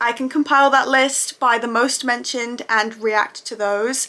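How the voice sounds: The woman's fairly high voice has a bright, sharp tone.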